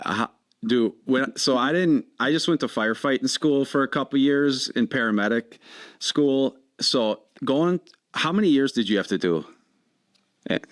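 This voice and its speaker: Lively in intonation and very even in loudness, a man with a strong Wisconsin accent and fairly high pitch talks at a moderate pace with long, frequent pauses, in a very clean recording with a silent background and a dry, close sound with no echo. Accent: thick Wisconsin. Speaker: podcast host, firefighter. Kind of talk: podcast interview.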